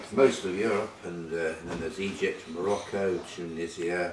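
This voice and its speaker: Noticeable background noise is present as a man talks fairly slowly. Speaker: town crier, physics teacher, radio broadcaster. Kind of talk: interview answer.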